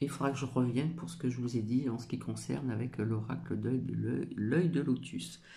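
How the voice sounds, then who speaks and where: A man mumbles in a put-on character voice at a medium pitch and a moderate pace, with hardly any pauses. Clear background noise is present. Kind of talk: slow, sometimes mushy diction. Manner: stumbling over words, mumbling.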